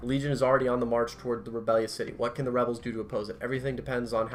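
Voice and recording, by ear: The intonation stays fairly even. A natural voice reads aloud.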